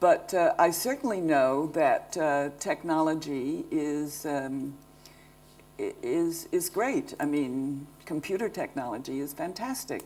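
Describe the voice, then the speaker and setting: Lively intonation carries the speech at a very slow pace. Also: woman, very deep, low pitch for a woman. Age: 70s. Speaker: lighting designer. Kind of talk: public talk Q&A. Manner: halting.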